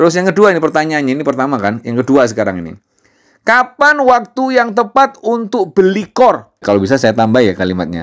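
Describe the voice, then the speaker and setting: A man with an East Javanese accent speaks in an angry, animated tone, his fairly high voice swinging very widely in pitch. The recording is very clean, with a silent background. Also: fairly quick pace. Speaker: crypto YouTuber. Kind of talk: casual tutorial. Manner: intonation sounds like angry arguing.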